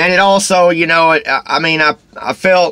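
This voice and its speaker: A man with a Texas accent talks at a fairly slow pace in a bright, sharp tone. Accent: Texas twang. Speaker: vlogger. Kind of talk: casual vlog monologue. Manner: rambling, halting with fillers.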